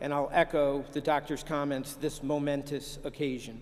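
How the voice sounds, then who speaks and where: A man speaks with an American accent at a fairly high pitch. He has an ordinary speaking voice and keeps a moderate pace. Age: 60s. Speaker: senior army officer and lawyer. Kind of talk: commencement speech. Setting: ceremony with live audience. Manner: formal.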